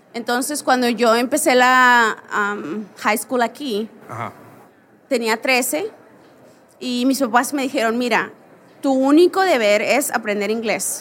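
A woman with a high pitch and ordinary pitch variation talks at a very slow pace. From Mexico. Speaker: portrait photographer. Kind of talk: live interview. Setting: stage with audience.

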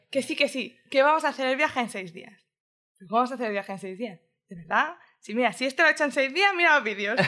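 Projecting loudly at a very fast pace, a woman speaks in a high, bright, sharp voice with lively intonation. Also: big swings in loudness. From Madrid, Spain, with Andalusian family. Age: 20s. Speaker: podcast guest, delivery worker and nanny. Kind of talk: casual interview chat. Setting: home studio.

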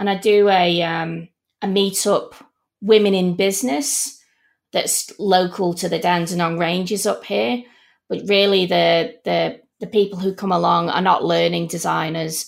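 In a Manchester accent, a woman speaks at a fairly slow pace with medium pitch and ordinary pitch variation, on a very clean recording with a silent background. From Manchester, England. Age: 40s. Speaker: learning experience designer. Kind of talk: interview.

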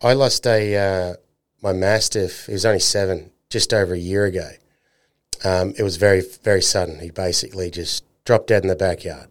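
A man's fairly low voice with an Australian accent, fairly quick and fairly even in intonation, on a very clean recording with a silent background. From North Queensland, Australia. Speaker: podcast host. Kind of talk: casual interview chat.

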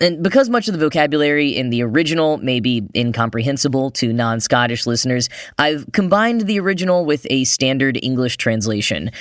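A man with a General American accent and a plain, everyday voice speaks at medium pitch and a fairly quick pace. His intonation is lively, and the recording is very clean with a silent background. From United States. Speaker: podcast host. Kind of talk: scripted news-style podcast narration.

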